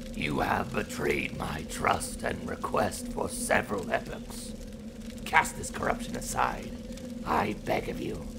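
The speaker uses a put-on character voice at a fairly slow pace. Loud background noise runs underneath. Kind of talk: philosophical dialogue. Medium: audio drama.

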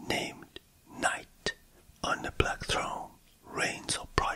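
Someone whispers at a very slow pace. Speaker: English teacher, writer. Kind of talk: poetry reading. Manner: whispered.

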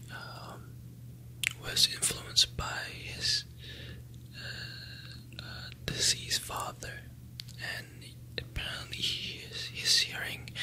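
A man whispers at a very slow pace with long, frequent pauses and big swings in loudness. Noticeable background noise sits behind him. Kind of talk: ASMR whispered review. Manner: whispered.

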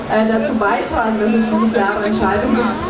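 Clear music plays in the background as a woman speaks at a moderate pace, with audible room echo. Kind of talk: panel discussion statement. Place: stage.

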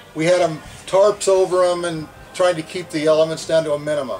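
Over clear music in the background, a man talks at a fairly quick pace in a high pitch. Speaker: streetcar conductor guide. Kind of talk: guided tour talk. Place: train. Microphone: camera far.

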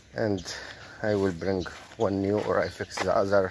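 Over noticeable background noise, a man with a fairly low pitch speaks at a fairly slow pace in a monotone, flat intonation, with a dry sound that has no echo. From Egypt. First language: Arabic. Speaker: vlogger and animal keeper; vlogger. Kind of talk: casual vlog narration. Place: farm. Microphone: phone near.

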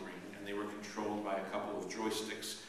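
In a fairly low pitch, a man talks at a very fast pace with monotone, flat intonation, under strong room echo and light background noise. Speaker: priest. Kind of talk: sermon. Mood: warm, humorous. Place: church. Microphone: camera far.

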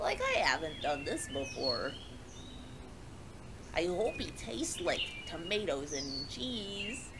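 A female-sounding put-on character voice speaks at a fairly slow pace with long, frequent pauses over loud background noise. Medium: short film. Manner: glum, then cheerfully gluttonous.

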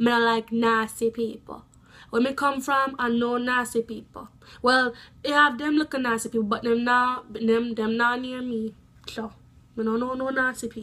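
A woman's high-pitched voice in a Jamaican accent, bright and sharp in tone, monotone and flat in intonation, at a moderate pace. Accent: Jamaican Patois. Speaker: vlogger. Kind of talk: casual talk to camera. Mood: animated, opinionated. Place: home room. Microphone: phone near.

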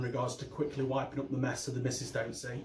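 A man talks at a fairly quick pace amid light background noise and audible room echo. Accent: East Midlands. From England, Derby. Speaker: aquarium YouTuber. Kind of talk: video tutorial. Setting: home recording on camera. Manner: animated. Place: home room. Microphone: phone near.

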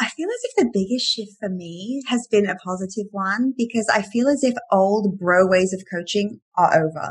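A somewhat breathy woman with an English accent, medium pitch and ordinary pitch variation, moderate pace and hardly any pauses, against a quiet background. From England. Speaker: life coach and author; life coach. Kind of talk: casual chat. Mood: warm, upbeat. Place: home room. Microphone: webcam.

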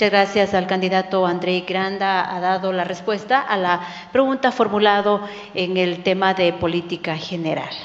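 Delivered at a moderate tempo, the voice holds a fairly even intonation. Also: woman. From Ecuador. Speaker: journalist, debate moderator. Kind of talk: formal debate moderation. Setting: stage in a theatre. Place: stage. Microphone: handheld.

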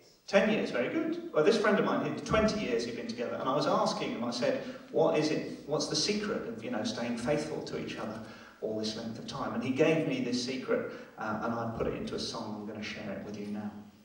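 There is audible room echo around a man's voice. He speaks at a fairly quick pace with very wide pitch swings. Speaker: stand-up comedian. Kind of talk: stand-up comedy with audience banter. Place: stage.

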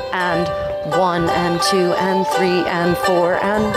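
A woman's very slow speech, dry with no echo, with music in the background. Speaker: dance instructor. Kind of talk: tutorial. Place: street.

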